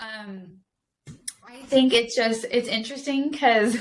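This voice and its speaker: The speaker has a Southern California accent and an ordinary amount of pitch variation. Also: woman. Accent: Valley twang. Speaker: podcast guest, speaker. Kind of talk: casual chat. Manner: animated.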